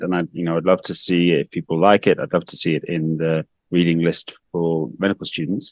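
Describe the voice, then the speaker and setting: A man with an English accent talks at a fairly quick pace in a very deep, low pitch. The sound is dry and close with no echo, over a quiet background. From UK. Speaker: infectious disease doctor. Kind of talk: interview.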